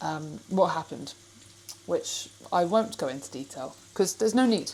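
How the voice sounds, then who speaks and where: A woman with an English accent speaks in a fairly low pitch. Noticeable background noise runs behind her. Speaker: fitness vlogger. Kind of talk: casual vlog. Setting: kitchen.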